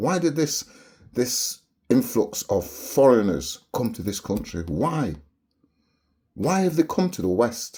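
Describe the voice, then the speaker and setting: The voice has a dark, mellow tone with vocal fry and very wide pitch swings. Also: man. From Barbados, moved to London at age seven. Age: 70s. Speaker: video blogger. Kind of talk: monologue rant to camera. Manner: animated.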